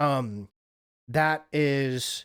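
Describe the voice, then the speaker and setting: A man speaks at a fairly high pitch with ordinary pitch variation. The recording is very clean, its background silent. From Wyoming, US. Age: 30s. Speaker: live streamer. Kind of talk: casual chat. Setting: live stream. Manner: halting, many fillers.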